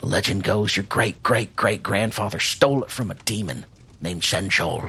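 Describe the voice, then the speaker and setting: Using a raspy, put-on character voice, a man of fairly low pitch speaks at a moderate pace with ordinary pitch variation. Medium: actual play. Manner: gruff, wry.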